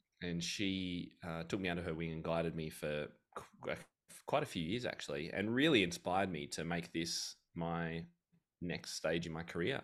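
A man talks at a very deep, low pitch. His pace is moderate and his pitch variation ordinary. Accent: Australian. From Australia. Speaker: piano teacher and author. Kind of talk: casual interview.

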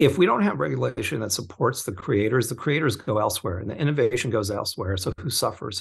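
Over a quiet background, a man with an American accent speaks at a medium pitch with vocal fry. His pace is very fast, with hardly any pauses. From Southern California (Orange County). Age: 50s. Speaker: crypto investment fund co-founder. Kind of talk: casual interview chat.

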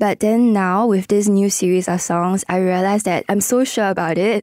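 With a Singaporean accent, a woman speaks at a medium pitch and moderate pace in a dark, mellow tone, her intonation fairly even and the sound dry and close with no echo. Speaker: singer-songwriter and producer. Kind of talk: casual interview. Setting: studio.

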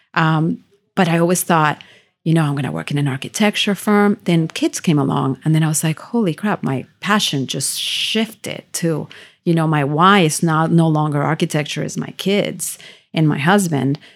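In a very clean recording with a silent background, a woman with a Spanish accent speaks at a very deep, low pitch. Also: ordinary pitch variation, moderate pace. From Venezuela, raised in Miami from age 11. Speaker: realtor. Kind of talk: interview. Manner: animated.

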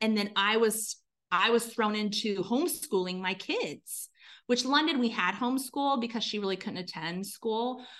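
A woman speaks with an unremarkable speaking voice at a fairly slow pace. Her pitch varies in an ordinary way against a quiet background. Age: 40s. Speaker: business consultant. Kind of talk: interview.

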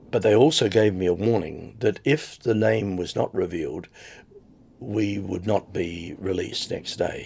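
A man's fairly low voice with vocal fry, in an Australian accent, at a fairly slow pace. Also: ordinary pitch variation. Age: 70s. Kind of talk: interview testimony. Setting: recorded on location while host travels.

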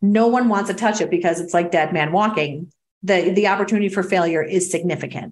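Speaking at a fairly quick pace in an American accent, a woman uses a normal speaking voice of medium pitch, with very even loudness and fairly even intonation. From New York. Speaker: career coach and business owner. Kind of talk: interview. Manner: casual, conversational.

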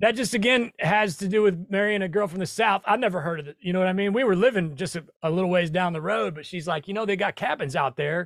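In a very clean recording with a silent background, a man with a high pitch speaks at a very fast pace, hardly pausing, with ordinary pitch variation. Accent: American. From US Midwest, rural Nebraska. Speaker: real estate investor. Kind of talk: interview.

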